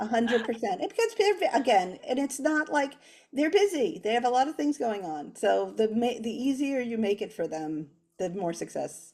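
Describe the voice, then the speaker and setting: A loud woman at a fairly high pitch, with very wide pitch swings and a moderate pace. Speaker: children's author and illustrator. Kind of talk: casual interview chat.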